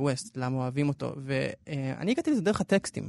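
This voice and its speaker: In an unremarkable speaking voice, the speaker goes at a moderate pace against a quiet background, the sound dry and close with no echo. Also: man. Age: young. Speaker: podcast editor and culture commentator. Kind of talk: radio culture discussion.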